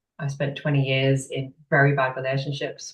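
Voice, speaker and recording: A woman talks at a fairly quick pace in a very deep, low pitch. Her voice is somewhat breathy. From northeast England (Sunderland). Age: 30s. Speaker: business owner, women's coach. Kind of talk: interview, personal story.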